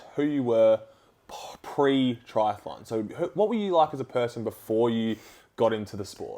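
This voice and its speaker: Words come at a moderate pace. They are spoken in an Australian accent. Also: man. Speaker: podcast host. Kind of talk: casual interview chat; podcast intro.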